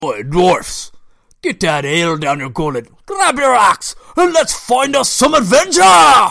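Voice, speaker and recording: A put-on character voice, fairly high in pitch and at a fairly slow pace. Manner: hearty, jovial.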